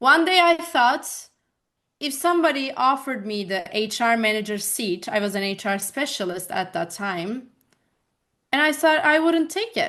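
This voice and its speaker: A woman with a Turkish accent, her high pitch making very wide swings against a quiet background. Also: moderate pace. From Turkey, Bursa. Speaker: life coach. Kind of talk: interview conversation.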